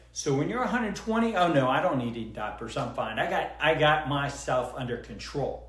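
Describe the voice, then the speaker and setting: A man speaks in an animated tone at a moderate pace. Audible room echo and noticeable background noise surround him. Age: 60s. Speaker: physician. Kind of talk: casual consultation explaining scan results.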